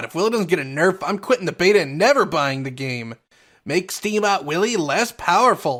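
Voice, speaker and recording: In a put-on character voice, the speaker sounds whiny, with a middle pitch and a fairly quick pace. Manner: whiny, complaining.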